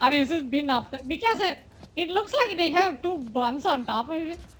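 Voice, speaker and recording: With a non-native accent, a woman speaks at a moderate pace and with lively intonation over noticeable background noise. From India. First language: not English. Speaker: game streamer. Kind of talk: casual chat. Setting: live stream.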